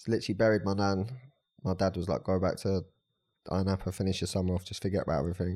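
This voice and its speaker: Speaking very fast in a southern English accent, a man uses a very deep, low pitch, a dark, mellow tone and fairly even intonation, on a very clean recording with a silent background. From Brighton, southern England. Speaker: life coach and personal trainer. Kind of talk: casual chat.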